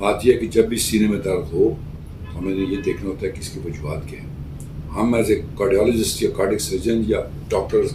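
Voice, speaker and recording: A man with a fairly low voice talks at a moderate pace, his pitch varying in an ordinary way. Audible room echo and noticeable background noise surround him. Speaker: cardiac surgeon. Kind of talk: Q&A medical advice talk. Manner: calm explanatory.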